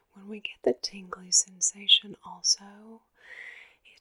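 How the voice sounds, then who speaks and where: A woman whispers in a soothing, calm tone, the sound dry and close with no echo. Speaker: ASMR creator. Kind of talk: ASMR personal attention talk to camera. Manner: soft-spoken, soothing, calm.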